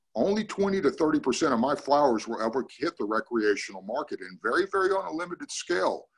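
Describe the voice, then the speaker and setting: The speech moves at a fairly quick pace with hardly any pauses, marked by very wide pitch swings and vocal fry. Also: man, fairly high pitch for a man. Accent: American. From Northern California. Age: 60s. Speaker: cannabis grower and army veteran. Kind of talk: casual group discussion. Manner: animated.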